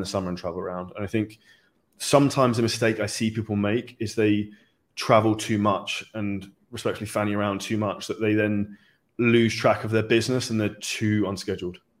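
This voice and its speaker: A man with a British accent speaks at a fairly low pitch in a monotone, flat way. The recording is very clean with a silent background. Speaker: online fitness coach and entrepreneur. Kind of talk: interview.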